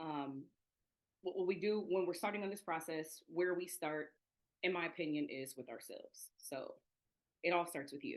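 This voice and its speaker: A woman with an American accent speaks at a fairly low pitch, with ordinary pitch variation and long, frequent pauses. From US Midwest, Toledo, Ohio. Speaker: education equity trainer. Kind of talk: online presentation. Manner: fast.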